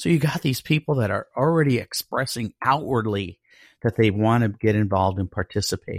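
In a very clean recording with a silent background and a dry, close sound with no echo, a man uses a normal speaking voice at medium pitch with lively intonation. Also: fairly quick pace. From Colorado Springs, US. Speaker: ministry director serving the homeless. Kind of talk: casual interview.

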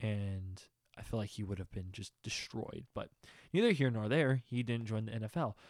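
A man's medium-pitched, ordinary speaking voice with an American accent, ordinary pitch variation and a moderate pace, dry and close with no echo in a very clean recording with a silent background. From Texas. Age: young. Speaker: podcast host and music reviewer. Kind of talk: casual monologue. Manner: rambling, filler-heavy.

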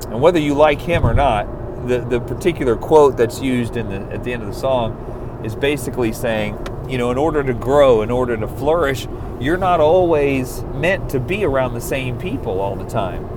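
A man talks at a moderate pace in a medium pitch with ordinary pitch variation. Noticeable background noise runs behind him. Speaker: solo podcaster, small business owner. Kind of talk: off-the-cuff monologue. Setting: recorded in a car, outdoors or in a studio with background music. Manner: rambling, talks in circles.

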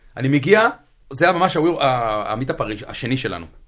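This man has a normal speaking voice at medium pitch, with lively intonation. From central Israel. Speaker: Haredi DevOps engineer. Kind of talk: casual interview. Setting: studio.

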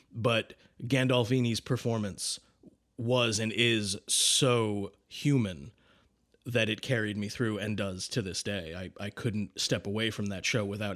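Fairly low-pitched male voice with an American accent, fairly even intonation and a fairly slow pace, very cleanly recorded against a silent background. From Boston. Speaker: film director, podcast co-host. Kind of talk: casual chat.

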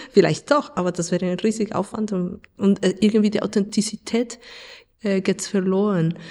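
A woman with a Spanish accent speaks at a medium pitch, her tone dark and mellow and her intonation fairly even. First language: Spanish (speaking German). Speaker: radio play author and theatre director. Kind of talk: interview.

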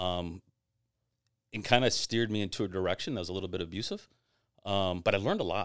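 This very clean recording with a silent background carries a voice with an American accent and ordinary pitch variation. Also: man. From Tampa, Florida. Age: 50s. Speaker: digital marketing executive and entrepreneur. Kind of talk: casual chat.

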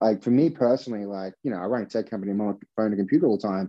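Speaking in an Australian accent, a man with a medium pitch uses ordinary pitch variation. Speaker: tech startup founder. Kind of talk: interview conversation. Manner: casual, filler-heavy.

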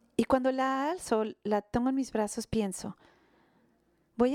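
On a very clean recording with a silent background and a dry, close sound with no echo, a woman with a high pitch speaks at a fairly slow pace with ordinary pitch variation. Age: 60s. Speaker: pastor. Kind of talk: sermon. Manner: halting.

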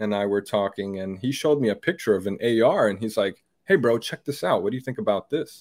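Over a silent background in a very clean recording, a man has an unremarkable speaking voice at medium pitch with ordinary pitch variation. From Brazil, moved to US at eight. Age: 30s. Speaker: firearms YouTuber. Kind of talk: casual interview.

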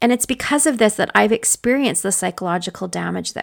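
A woman speaks at a fairly quick pace with a Canadian accent. The sound is dry and close with no echo, on a very clean recording with a silent background. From northwestern Ontario, Canada. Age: 50s. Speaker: podcast host, leadership consultant and nurse. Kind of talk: casual solo podcast monologue. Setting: home office.

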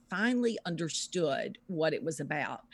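In a Southern US accent, a woman with a fairly low pitch talks at a moderate pace with ordinary pitch variation. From US South, Louisiana. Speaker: author and researcher. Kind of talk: interview.

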